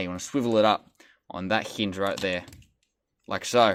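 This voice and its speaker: A man with an Australian accent speaks at a moderate pace in a fairly low pitch, his tone bright and sharp, the sound dry and close with no echo. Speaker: toy reviewer. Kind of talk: product review and tutorial. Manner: casual, occasionally stumbling.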